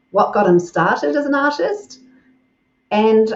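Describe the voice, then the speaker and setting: A woman's fairly high voice in a New Zealand accent, at a fairly slow pace. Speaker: podcast host, communications coach. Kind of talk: interview.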